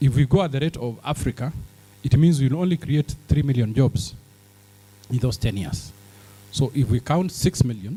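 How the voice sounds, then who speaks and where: A man's dark, mellow, somewhat breathy voice with lively intonation at a moderate pace. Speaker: businessman in healthcare, summit speaker. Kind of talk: conference speech.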